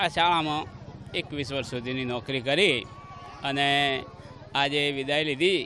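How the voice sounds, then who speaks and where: A man's fairly high-pitched voice with fairly even intonation, heard over noticeable background noise. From Gujarat, India. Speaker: retiring schoolteacher. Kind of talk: farewell interview. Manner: halting.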